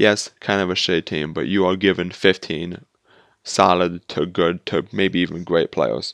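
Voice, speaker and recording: A man is speaking. The background around him is quiet. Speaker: gaming YouTuber. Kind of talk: gameplay commentary. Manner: fast; halting, many fillers.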